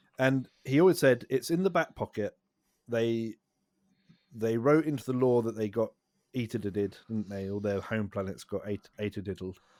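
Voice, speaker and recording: In a very clean recording with a silent background and a dry, close sound with no echo, a man with a British accent speaks at a moderate pace and medium pitch, his intonation lively. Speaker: podcast co-host. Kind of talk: casual chat. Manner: soothing.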